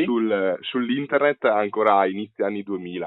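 This man has a normal speaking voice, fairly low in pitch, and he talks at a fairly quick pace. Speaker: podcast host. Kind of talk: interview.

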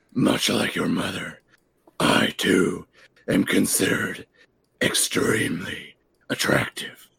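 A put-on character voice, raspy, gruff and breathy, moves at a fairly slow pace with long, frequent pauses. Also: man. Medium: actual play. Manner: boastful, swaggering.

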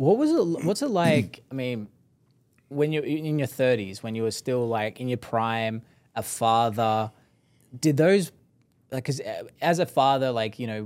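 On a very clean recording with a silent background, a man uses a plain, everyday voice of medium pitch, speaking at a moderate pace with ordinary pitch variation. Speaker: podcast host. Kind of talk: casual interview chat.

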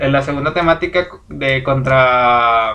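With an unremarkable speaking voice, a man talks at a fairly high pitch and with ordinary pitch variation. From Mexico. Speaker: podcast co-host. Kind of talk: casual chat.

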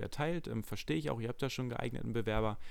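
A man's medium-pitched voice, very fast, with lively intonation. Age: 20s. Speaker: podcast host, fitness studio manager. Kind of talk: casual chat.

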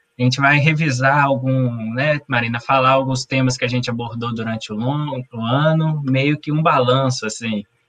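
An ordinary speaking voice, a man at medium pitch with a moderate pace and fairly even intonation. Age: 30s. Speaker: patient association president, co-host. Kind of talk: announcements on live stream.

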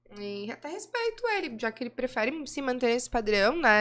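A woman with high pitch talks very fast, with very wide pitch swings. Background noise is noticeable. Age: 20s. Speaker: adult film actress and director. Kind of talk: casual interview chat.

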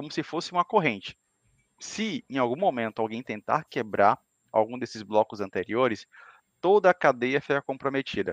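The sound is dry and close with no echo and a quiet background as a man speaks at a moderate pace and medium pitch, his pitch swinging very widely. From Salvador, Bahia, Brazil. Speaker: cloud engineer. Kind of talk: casual chat.

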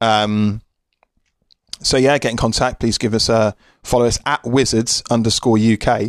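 A man with a British accent speaks at a medium pitch and a moderate pace, monotone and flat, his loudness very even and his pauses long and frequent. The recording is very clean with a silent background and a dry, close sound with no echo. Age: 30s. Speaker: sports podcast host. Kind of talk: solo podcast monologue. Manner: halting.

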